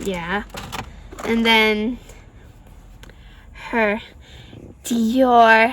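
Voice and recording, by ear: A woman speaks at a very slow pace in a fairly high pitch. Her tone is fairly bright and her intonation fairly even.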